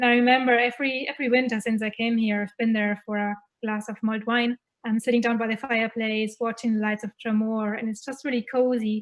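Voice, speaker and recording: A woman with a German accent speaks at a very fast pace. Her pitch is fairly high and her intonation is monotone and flat. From Germany. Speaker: festival contributor. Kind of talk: casual chat.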